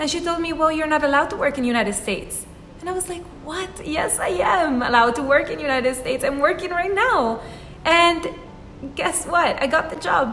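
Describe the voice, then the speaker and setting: A woman with an Italian accent speaks fairly quickly at a high pitch with lively intonation, amid noticeable background noise and audible room echo. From Italy. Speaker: YouTuber, life and career advice. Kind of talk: vlog advice talk.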